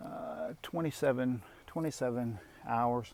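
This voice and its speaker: A man speaks quietly on a very clean recording with a silent background. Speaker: youtuber reviewing his mini excavator. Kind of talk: casual walkaround video. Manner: quiet talker; hesitant with many fillers.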